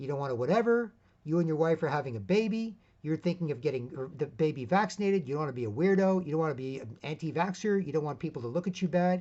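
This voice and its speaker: With lively intonation and an animated tone, a fairly high-pitched man talks at a very fast pace. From Canada, Toronto. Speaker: video blogger. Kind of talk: monologue.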